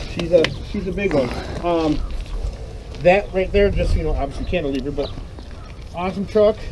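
Noticeable background noise runs behind a man who talks at a fairly quick pace. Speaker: seller of the truck. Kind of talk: casual conversation. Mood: friendly, relaxed. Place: street.

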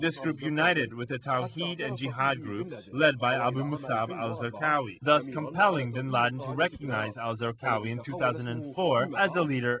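A man with a medium pitch and ordinary pitch variation talks at a fairly quick pace against noticeable background noise. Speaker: news narrator/translator. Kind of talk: news reading.

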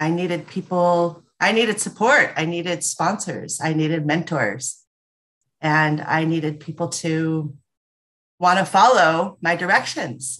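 With a fairly low pitch and ordinary pitch variation, a woman talks at a fairly slow pace. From Los Angeles, US. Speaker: entrepreneur, former corporate director; podcast guest. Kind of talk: casual chat. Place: home room. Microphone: video call.

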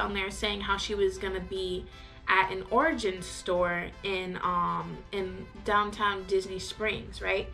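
Faint music plays in the background as a woman speaks. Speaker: vlogger. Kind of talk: casual storytime vlog chat. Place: home room. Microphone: camera far.

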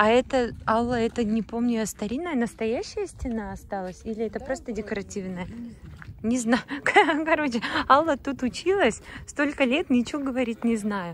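A woman's fairly high, lively voice at a moderate pace, with long, frequent pauses, a dry sound with no echo and light background noise. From Bashkortostan, Russia (Mishkino district); Bashkortostan, Russia. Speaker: vlogger. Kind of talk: travel vlog narration. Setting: in a car. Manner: animated. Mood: delighted, admiring. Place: open country. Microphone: phone near.

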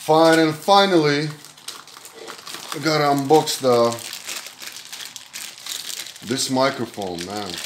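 A man's fairly high voice at a slow pace, broken by long, frequent pauses, with audible room echo. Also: ordinary pitch variation.

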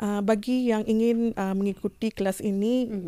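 A woman's voice has a dark, mellow tone over a quiet background. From Brunei. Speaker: tailoring business owner and sewing teacher; guest. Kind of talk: interview. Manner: halting, many fillers. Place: studio.

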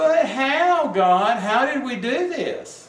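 A whiny, put-on character voice, high in pitch, at a very slow pace with slight echo. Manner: complaining, whiny.

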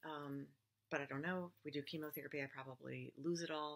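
A woman's very deep, low voice at a fairly quick pace with fairly even intonation. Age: 50s. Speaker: cancer patient vlogger. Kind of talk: personal testimony. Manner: casual, conversational with fillers. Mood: earnest, worried, emotional. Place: home room. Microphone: webcam.

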